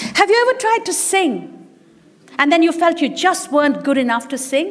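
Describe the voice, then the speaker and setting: With an animated tone, a woman speaks at a moderate pace in an extremely high pitch, her voice making very wide pitch swings. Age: 60s. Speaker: business leader and musician giving a speech. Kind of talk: speech at an event.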